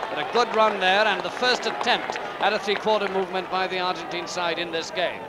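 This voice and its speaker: Over crowd noise in the background, a man talks at a fairly quick pace with a high pitch and ordinary pitch variation. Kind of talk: live sports commentary, rugby match broadcast. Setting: outdoors at a rainy stadium, archive broadcast. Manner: fast, clipped, excitable play-by-play, rattling off player names; dry, opinionated, slightly sardonic asides.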